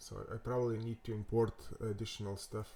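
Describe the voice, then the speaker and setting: With a Lithuanian accent, a man speaks in a dark, mellow tone at a fairly low pitch, his delivery monotone and flat. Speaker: web developer. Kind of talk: tutorial. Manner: halting, many fillers and repetitions.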